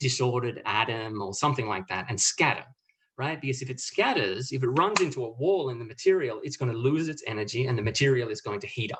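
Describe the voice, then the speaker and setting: Over a quiet background, a man with an Australian accent speaks very fast at a medium pitch with lively intonation. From Australia, small country town. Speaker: physics professor. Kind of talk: lecture. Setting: webinar. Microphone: video call.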